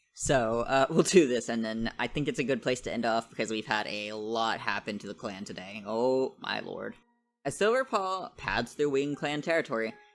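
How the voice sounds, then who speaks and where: The voice moves at a moderate pace while music plays in the background. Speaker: gaming youtuber. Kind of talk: let's play commentary, reading game text aloud. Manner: stutters, self-correcting; casual, halting.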